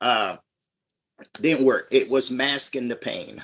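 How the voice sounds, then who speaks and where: A man with an ordinary speaking voice, fairly high in pitch, at a moderate pace. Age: 60s. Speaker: military veteran and product distributor. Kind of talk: testimony. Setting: live-streamed group call.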